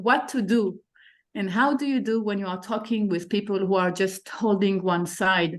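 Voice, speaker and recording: A woman speaks with an Israeli accent at a medium pitch. Her pace is fairly slow and her intonation fairly even. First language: Hebrew. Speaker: participant asking a question. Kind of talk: online panel discussion.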